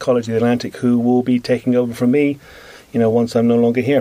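A man at medium pitch with a British accent. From Britain (England). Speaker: marine biologist. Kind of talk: radio interview. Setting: radio studio.

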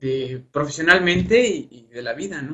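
Fairly high-pitched for a man, his voice shows ordinary pitch variation. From Mexico, Hidalgo. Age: 20s. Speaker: university student. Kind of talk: interview. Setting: online live broadcast.

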